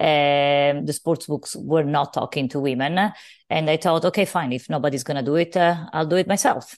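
Over a quiet background, a woman with a Sicilian accent speaks at a moderate pace. Her pitch is very deep and low, with ordinary pitch variation. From Sicily, Italy. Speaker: business founder. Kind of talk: interview.

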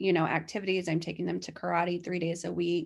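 In a very clean recording with a silent background, a woman with a fairly low pitch speaks with vocal fry and fairly even intonation. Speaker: guest sharing her weight-loss story, mother of five. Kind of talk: casual interview, personal story.

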